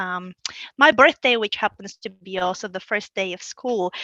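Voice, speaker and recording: With a Bulgarian accent, a woman speaks at a moderate pace and medium pitch, her tone bright and sharp, in a dry, close sound with no echo. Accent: Bulgarian accent, noticeable. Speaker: local government manager. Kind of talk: interview. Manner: halting.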